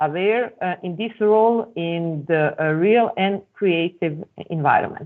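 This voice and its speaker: A woman speaks in a Serbian accent at a fairly low pitch. Her pace is fairly slow and her pitch variation ordinary. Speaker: academic presenter. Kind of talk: conference presentation. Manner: halting.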